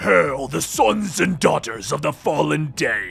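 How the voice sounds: A put-on character voice moves at a fairly slow pace while faint music plays in the background. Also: man.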